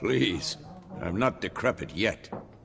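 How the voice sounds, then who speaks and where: In a put-on character voice, a raspy man speaks at a fairly low pitch with very wide pitch swings over light background noise. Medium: video game. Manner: wry, understated.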